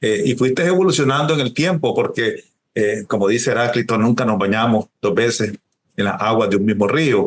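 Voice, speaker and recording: A man talks in a plain, everyday voice at medium pitch and a moderate pace. His loudness stays very even, with ordinary pitch variation. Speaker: writer, interviewer. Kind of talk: interview questions.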